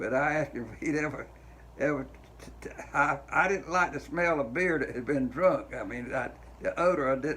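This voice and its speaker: A man speaks with big swings in loudness against noticeable background noise. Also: moderate pace. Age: 80s+. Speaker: army veteran. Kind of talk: interview answer. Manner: halting, hesitant.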